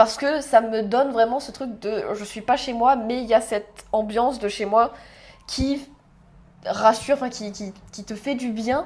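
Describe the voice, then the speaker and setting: A woman with a fairly high pitch talks at a fairly slow pace with fairly even intonation and big swings in loudness. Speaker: podcast host, student. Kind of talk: casual chat.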